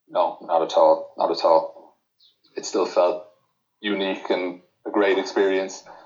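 Long, frequent pauses mark this man's speech. He talks at a fairly slow pace with an Irish accent. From Ireland. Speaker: poker player. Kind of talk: casual interview.

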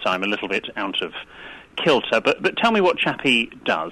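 With a bright, sharp tone, a man speaks using lively intonation. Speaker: etiquette expert. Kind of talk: casual interview.

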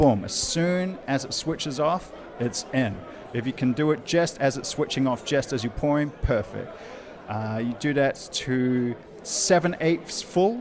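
With a New Zealand accent, a man speaks at a fairly slow pace and a fairly high pitch, with ordinary pitch variation. Noticeable background noise is present. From New Zealand, Wellington. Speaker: guest. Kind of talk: casual chat. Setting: pub.

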